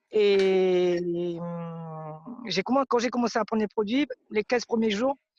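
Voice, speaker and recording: A woman's medium-pitched voice at a very slow pace, ordinary pitch variation, dry and close with no echo. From French Guiana. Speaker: customer giving testimonial. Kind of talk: testimony.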